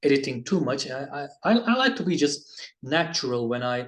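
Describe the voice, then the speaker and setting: This man speaks with a Turkish accent. His pitch sits fairly high. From Turkey. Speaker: basketball video reviewer. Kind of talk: casual vlog monologue. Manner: halting, many fillers and restarts.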